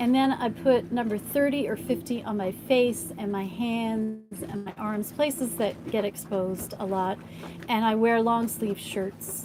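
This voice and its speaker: Over noticeable background noise, a woman speaks fairly slowly at medium pitch with ordinary pitch variation. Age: 60s. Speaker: sailing documentary producer. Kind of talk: live stream Q&A.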